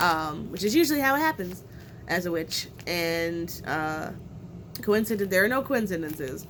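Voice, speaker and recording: Speaking at a fairly quick pace, a woman with a fairly low pitch is heard with audible room echo and noticeable background noise. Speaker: witchcraft content creator. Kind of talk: unboxing video. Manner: hesitant fillers.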